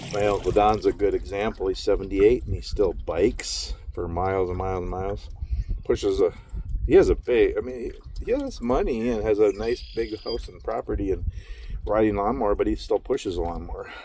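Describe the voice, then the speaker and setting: The speech moves at a fairly quick pace. It is delivered in an Upper Midwest accent. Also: man. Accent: Upper Midwest American. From Minnesota, Minneapolis. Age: 50s. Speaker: vlogger, truck driver. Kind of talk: casual vlog monologue. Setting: outdoors, in a canoe on a lake.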